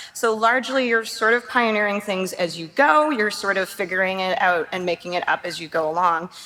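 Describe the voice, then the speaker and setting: Noticeable background noise is present. A woman talks at a fairly quick pace with ordinary pitch variation. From Canada, Toronto. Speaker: game art director. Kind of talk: conference talk. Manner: casual, filler-heavy.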